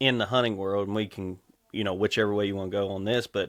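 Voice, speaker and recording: A man speaks with a Kentucky accent at a fairly low pitch. His intonation stays fairly even. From Kentucky, rural farmland. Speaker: electrical lineman and endurance athlete. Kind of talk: podcast interview.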